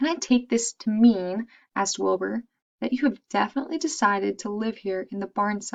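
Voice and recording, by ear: Natural-voiced reading aloud, set against a quiet background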